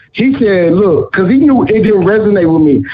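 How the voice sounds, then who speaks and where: Over noticeable background noise, a man talks at a moderate pace in an animated tone, with lively intonation and a high pitch. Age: 30s. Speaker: talk show panelist. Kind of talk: heated debate.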